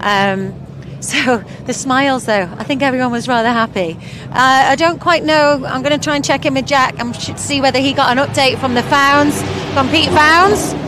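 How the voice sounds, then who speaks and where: The speech moves at a moderate pace with ordinary pitch variation. Noticeable background noise sits behind it. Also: woman, high pitch for a woman. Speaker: sidecar racing interviewer/presenter. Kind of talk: live trackside broadcast chat.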